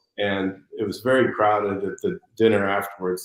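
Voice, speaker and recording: In monotone, flat intonation, a man with a fairly low pitch talks at a moderate pace. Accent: American. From United States. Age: 60s. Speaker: fashion designer. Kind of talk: interview.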